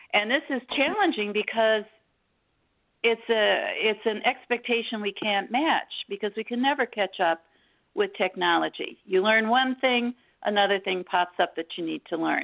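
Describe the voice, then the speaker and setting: A woman talks with an American accent in a plain, everyday voice. Her pitch is fairly high, with ordinary pitch variation. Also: moderate pace. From Detroit, Michigan. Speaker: executive coach. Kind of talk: interview.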